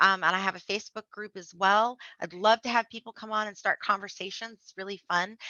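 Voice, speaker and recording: A woman with an American accent talks at a fairly quick pace, her loudness swinging widely. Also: medium pitch for a woman. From Blue Ridge Mountains, US South. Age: 40s. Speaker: memoir author. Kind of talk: interview. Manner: fast; animated.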